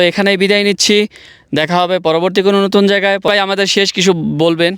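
This man talks at a high pitch in a monotone, flat delivery. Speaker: YouTube vlogger, interviewer. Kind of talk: interview. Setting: outdoors in desert hills.

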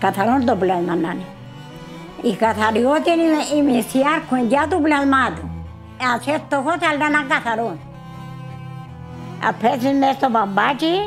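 A woman with a Cypriot accent and high pitch speaks at a fairly slow pace with long, frequent pauses and lively intonation, over clear music in the background. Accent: Cypriot Greek. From Cyprus. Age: 90s. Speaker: grandmother home cook. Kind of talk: casual talk while cooking. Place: home room.

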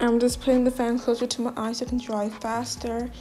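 A woman's high-pitched voice over faint music in the background. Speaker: beauty vlogger. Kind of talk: beauty tutorial talk to camera. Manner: casual. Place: home room. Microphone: phone near.

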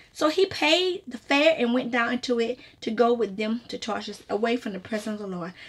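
Big swings in loudness mark a woman's fairly high-pitched voice as she talks at a fairly quick pace with lively intonation. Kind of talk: prayer and devotional teaching. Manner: conversational, repetitive, with fillers like you know; earnest, fervent in prayer. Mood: earnest, exhorting. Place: home room. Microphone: webcam.

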